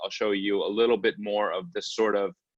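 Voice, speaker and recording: A man with an American accent speaks in a fairly low voice. The sound is dry and close with no echo, against a quiet background. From US, Brooklyn New York. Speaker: artist. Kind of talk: online panel presentation. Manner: fast.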